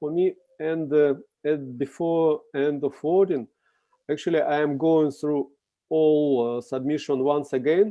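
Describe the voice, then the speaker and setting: Someone speaks at a fairly slow pace with a Russian accent. The intonation stays fairly even. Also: man, fairly high pitch for a man. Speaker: contest juror. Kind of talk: video call discussion. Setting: video call. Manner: halting.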